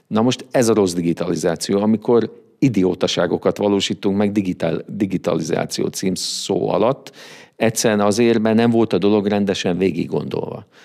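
This man has a dark, mellow tone, fairly even intonation and very even loudness. The recording is very clean against a silent background. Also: fairly low pitch for a man, moderate pace. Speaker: business consultant. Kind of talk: interview. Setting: studio.

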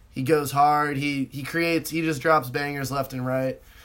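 Fairly high-pitched and in a monotone, flat intonation, a man with a West Coast American accent talks at a moderate pace. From US West Coast. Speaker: student podcast co-host. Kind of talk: casual chat.

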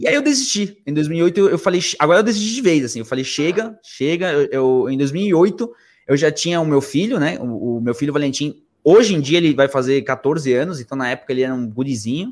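Recorded very cleanly against a silent background, a man talks at a fairly quick clip. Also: fairly high pitch for a man, lively intonation. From Argentina, Buenos Aires. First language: Spanish (speaking Portuguese). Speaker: musician, band singer and ukulele player. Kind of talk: casual chat.

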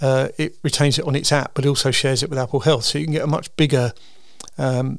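A man at medium pitch, fairly quick, with vocal fry and little pitch movement

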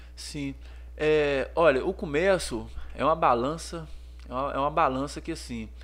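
Audible room echo around a man talking at a fairly slow pace. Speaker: menswear store owner, entrepreneur. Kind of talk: casual interview chat.

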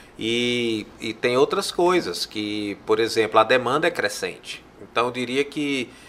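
A man's unremarkable speaking voice at medium pitch with ordinary pitch variation, at a fairly slow pace with hardly any pauses. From Fortaleza, Ceará, Brazil. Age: 40s. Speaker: public health researcher and professor. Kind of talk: interview conversation. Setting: studio.

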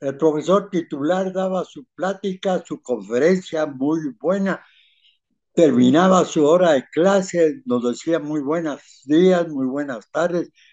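A man at a very slow pace, fairly high in pitch with ordinary pitch variation, against a quiet background. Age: 80s+. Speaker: retired civil engineer. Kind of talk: interview. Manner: halting.

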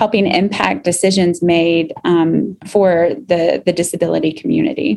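A woman with an American accent speaks at a moderate pace in a plain, everyday voice, her pitch medium and its variation ordinary. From Kentucky, US. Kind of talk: podcast interview.

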